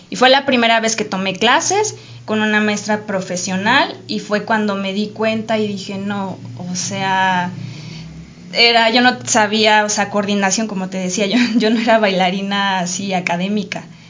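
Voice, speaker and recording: A woman's medium-pitched voice, fairly slow and fairly even in intonation, with audible room echo and noticeable background noise. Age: 30s. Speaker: dancer. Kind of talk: casual chat.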